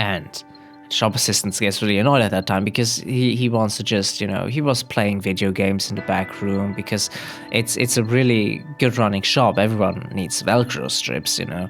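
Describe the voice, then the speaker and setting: Music plays in the background as a man talks at a moderate pace. His pitch is fairly low, with ordinary pitch variation. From German-speaking Belgium. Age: 20s. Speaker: comedian. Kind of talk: casual comedic joke telling to camera. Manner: hesitant, rambling.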